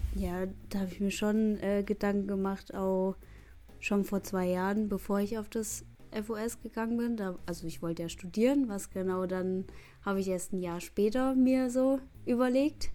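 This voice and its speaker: At a medium pitch, a woman talks at a moderate pace with a dark, mellow tone and ordinary pitch variation. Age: young. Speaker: trainee dance teacher. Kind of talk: interview.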